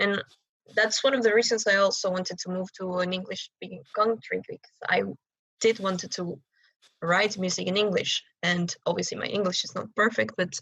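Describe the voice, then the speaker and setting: A woman speaks at a fairly quick pace. Her pitch is medium and her intonation fairly even. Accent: strong Chilean. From Chile. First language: Spanish. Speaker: rock and metal singer. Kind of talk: podcast interview. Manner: halting, many fillers.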